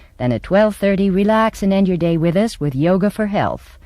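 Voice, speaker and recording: Using lively intonation, a woman with an American accent speaks in a dark, mellow tone. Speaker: voice-over performer and speech teacher; stage actress. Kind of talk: TV station programming announcement.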